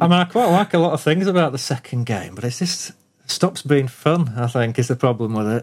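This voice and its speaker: Here is an unremarkable speaking voice from a man, pitched fairly high. He talks at a fairly quick pace with lively intonation. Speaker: retro game enthusiast. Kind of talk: casual chat.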